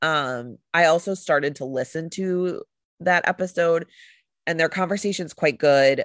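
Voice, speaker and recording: A woman has an ordinary speaking voice, fairly low in pitch with ordinary pitch variation, talking at a fairly slow pace in a dry, close sound with no echo against a quiet background. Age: 30s. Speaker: podcast co-host. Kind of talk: casual chat.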